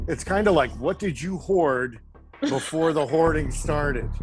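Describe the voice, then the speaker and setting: With music in the background, a man talks in an American accent at a fairly slow pace. His pitch is fairly high, with ordinary variation. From Orange County, California. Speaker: chef. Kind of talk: casual video call chat.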